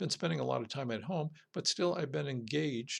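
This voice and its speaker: A man talks with noticeable vocal fry. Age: 60s. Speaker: political podcast host. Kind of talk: solo podcast monologue. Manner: halting, with frequent fillers.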